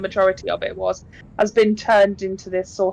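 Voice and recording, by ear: Natural-voiced reading aloud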